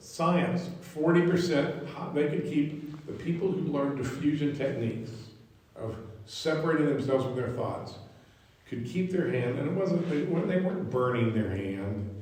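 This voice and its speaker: Using lively intonation, a man speaks at a fairly high pitch and a moderate pace. Audible room echo and noticeable background noise fill the recording. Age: 60s. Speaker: psychologist teaching a class. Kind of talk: lecture. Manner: halting, many repetitions and restarts.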